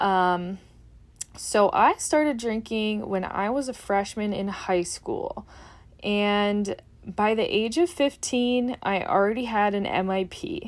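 Someone with an American accent speaks at a very slow pace, with ordinary pitch variation. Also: woman, fairly high pitch for a woman. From Upper Peninsula of Michigan, US. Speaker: dietitian and podcast host. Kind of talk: casual solo podcast talk. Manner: casual with frequent fillers and laughs.

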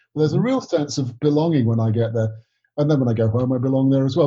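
Somewhat breathy, a man with an English accent speaks at medium pitch with fairly even intonation. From England. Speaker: writer and director, co-host. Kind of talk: interview.

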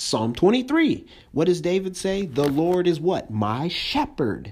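A man's fairly high-pitched voice with very wide pitch swings at a fairly slow pace, over noticeable background noise. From US, moved around a lot. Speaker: pastor. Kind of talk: sermon. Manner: casual, conversational.

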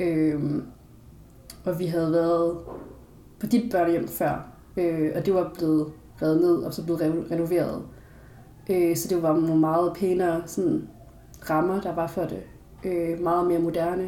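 With audible room echo, a woman speaks in a fairly low, dark, mellow voice with monotone, flat intonation and long, frequent pauses. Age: 20s. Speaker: philosophy student, adoptee. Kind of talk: casual interview.

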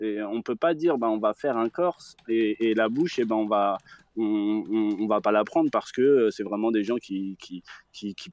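Using an ordinary speaking voice, a man talks fairly slowly at a fairly low pitch with ordinary pitch variation. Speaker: caller on live show. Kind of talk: debate call-in discussion. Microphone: connection dropped out.

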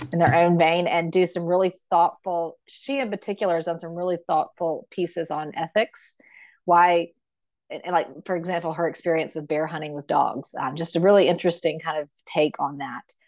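In a quiet background, a woman with a fairly low pitch talks at a moderate pace with ordinary pitch variation. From South Carolina. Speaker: hunter and volunteer. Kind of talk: interview.

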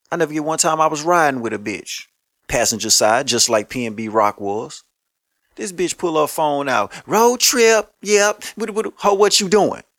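In an American accent, a man with a fairly high pitch and an animated tone makes very wide pitch swings at a fairly slow pace, with a dry, close sound with no echo. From Louisiana (Shreveport). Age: 30s. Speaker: podcast host. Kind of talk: casual monologue.

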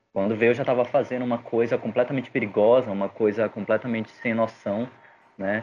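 This man has a medium pitch and fairly even intonation. He has an ordinary speaking voice. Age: 30s. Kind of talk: casual chat.

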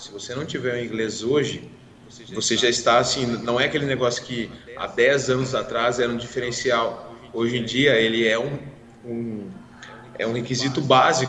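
In a room with audible echo and noticeable background noise, a man with a medium-pitched voice talks at a moderate pace in a monotone, flat intonation. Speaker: podcast co-host, irrigation professional. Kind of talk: casual chat. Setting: live stream.

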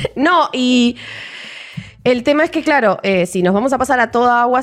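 Speaking at a fairly slow pace, a woman with a high voice moves through very wide pitch swings. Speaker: podcast co-host. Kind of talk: casual chat.

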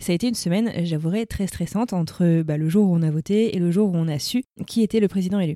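The speech comes at a very fast pace with ordinary pitch variation, in a dry, close sound with no echo. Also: woman, medium pitch for a woman. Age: 30s. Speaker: podcaster. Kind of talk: casual chat.

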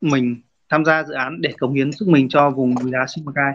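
A plain, everyday voice at a moderate pace, with fairly even intonation. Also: man. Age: 30s. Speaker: rice farmer and cooperative head. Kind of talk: interview.

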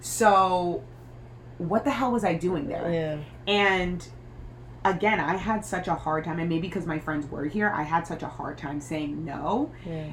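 The speaker uses a plain, everyday voice at a fairly slow pace. Pitch varies in an ordinary way. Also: woman, fairly low pitch for a woman. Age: 20s. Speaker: podcast co-host. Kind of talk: casual chat.

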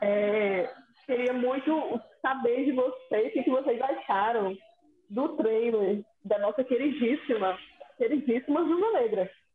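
Here a woman speaks at a very slow pace in a high voice. Her loudness stays very even. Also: ordinary pitch variation. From Espírito Santo, Brazil. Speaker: podcast co-host. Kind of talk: casual chat.

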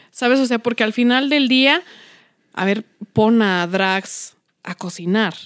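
A woman's fairly high voice at a very slow pace, with long, frequent pauses, ordinary pitch variation, and a very clean recording against a silent background. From Mexico City, Iztapalapa. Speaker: podcast co-host. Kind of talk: casual chat.

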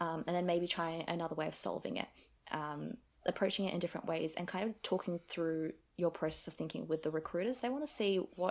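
At a fairly quick pace, a woman talks in an unremarkable speaking voice, fairly low in pitch with ordinary pitch variation. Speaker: university student. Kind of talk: casual chat.

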